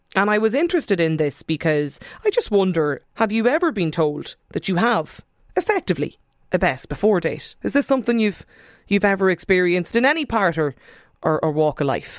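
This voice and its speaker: The voice holds very even loudness while its pitch swings very widely. The pace is fairly quick. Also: woman, medium pitch for a woman. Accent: Irish. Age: 30s. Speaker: radio host. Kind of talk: radio phone-in discussion. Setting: studio.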